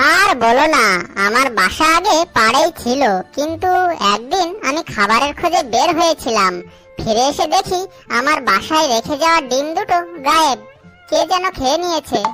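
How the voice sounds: A cartoonish character voice from a female-sounding speaker, pitched high and delivered at a moderate pace. Clear music plays in the background.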